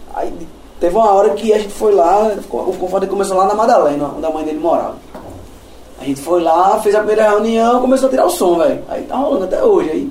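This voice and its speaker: A man speaks at a very fast pace in a high pitch with very wide pitch swings. Audible room echo and noticeable background noise fill the recording. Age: 30s. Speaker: metal drummer. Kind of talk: casual chat.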